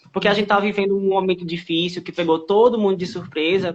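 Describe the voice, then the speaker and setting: A man's high-pitched voice at a fairly quick pace. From Pernambuco, Brazil (Caruaru). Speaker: live-stream interviewer. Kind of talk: interview. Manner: animated.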